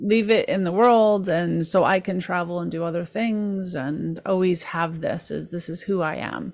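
A woman has a normal speaking voice with a fairly low pitch and fairly even intonation. She keeps a moderate pace with hardly any pauses, on a very clean recording with a silent background. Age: 50s. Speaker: podcast host and author. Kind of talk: interview.

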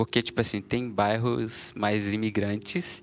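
Using a plain, everyday voice, a man speaks at medium pitch with fairly even intonation. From Brazil. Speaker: software developer. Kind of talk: casual chat.

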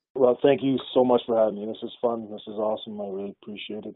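With a Canadian accent, a man speaks in an unremarkable speaking voice at a medium pitch with ordinary pitch variation. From Canada, Ottawa. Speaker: company founder, former pro football player. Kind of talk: interview.

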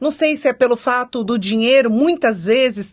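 A woman's high-pitched, animated voice with ordinary pitch variation at a moderate pace. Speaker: podcast co-host. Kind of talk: casual chat.

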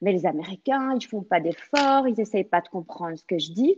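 A woman's voice swings very widely in pitch as she talks at a moderate pace. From Belgium. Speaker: French teacher. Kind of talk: interview.

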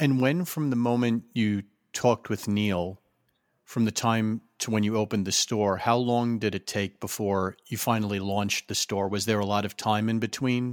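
In an ordinary speaking voice, a man speaks at a moderate pace with fairly even intonation and a fairly low pitch, on a very clean recording with a silent background and a dry, close sound with no echo. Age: 30s. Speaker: podcast host. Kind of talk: casual interview.

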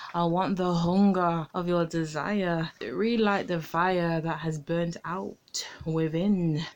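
A woman at fairly low pitch, very slow in pace with hardly any pauses and fairly even intonation, over noticeable background noise. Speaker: poet. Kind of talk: spoken-word poetry performance, dark and sensual. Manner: intense, brooding, dramatic delivery; slow, deliberate phrasing with pauses.

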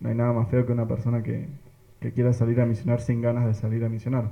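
A man's monotone, flat delivery. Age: 20s. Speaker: parish youth missionary. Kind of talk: casual group chat.

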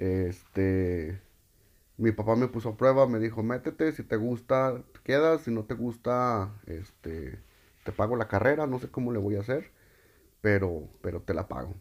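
Lively intonation from a man, at a fairly slow pace. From Mexico, Loreto, Zacatecas. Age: 30s. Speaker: podcaster, primary school teacher. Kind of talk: personal monologue. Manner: halting, many repetitions.

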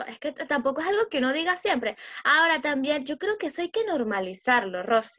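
Against a quiet background, a woman speaks at a moderate pace with a Venezuelan accent. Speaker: podcast co-host. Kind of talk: casual chat.

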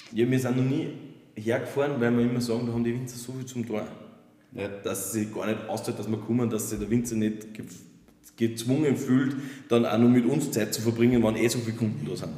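A man talks at a fairly quick pace with long, frequent pauses, and audible room echo surrounds his voice. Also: medium pitch for a man, fairly even intonation. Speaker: wine podcast host. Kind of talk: casual chat. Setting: winery sales room.

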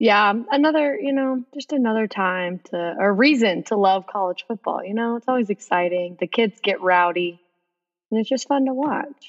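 In an American accent, a woman with a normal speaking voice talks at a moderate pace with lively intonation. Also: fairly high pitch for a woman. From Texas. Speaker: podcast guest host, sports fan. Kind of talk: casual chat.

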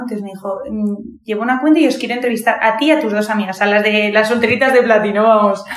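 Noticeable background noise and audible room echo surround the recording. A woman with a fairly high pitch speaks at a very fast pace. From Madrid, Spain. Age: 20s. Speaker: university student. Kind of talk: testimony. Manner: animated.

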